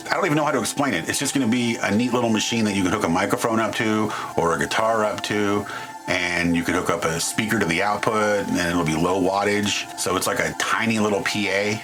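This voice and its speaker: Speech comes at a very fast pace, with very even loudness and ordinary pitch variation. Music plays in the background, and room echo is audible. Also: man, fairly low pitch for a man. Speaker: DIY electronics YouTuber. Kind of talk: tutorial. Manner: casual.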